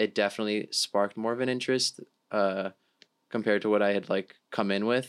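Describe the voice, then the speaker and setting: A man with an American accent speaks at a moderate pace in a fairly low pitch, on a very clean recording with a silent background. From Miami, Florida. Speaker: undergraduate student researcher. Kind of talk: casual interview.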